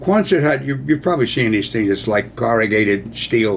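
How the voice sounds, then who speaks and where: With an American accent and vocal fry, the voice moves at a moderate pace through very wide pitch swings. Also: man. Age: 80s+. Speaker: war veteran. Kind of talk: storytelling. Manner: casual.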